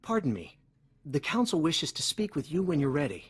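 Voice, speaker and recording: A put-on character voice at a middle pitch and fairly quick pace, in a very clean recording with a silent background. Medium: video game. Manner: quick, concerned.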